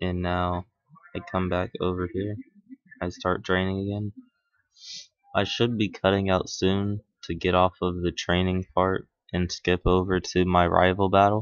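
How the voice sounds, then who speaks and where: Quiet and very deep, a man's low-pitched voice comes at a fairly slow pace. His intonation is monotone and flat, with long, frequent pauses. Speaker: gaming YouTuber. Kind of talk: let's play commentary. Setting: at home at night.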